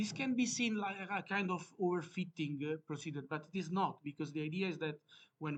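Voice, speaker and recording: A man with an Italian accent speaks at a high pitch and a fairly quick pace. His pitch varies in an ordinary way. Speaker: academic researcher presenting a paper. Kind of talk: conference presentation. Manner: halting, many fillers.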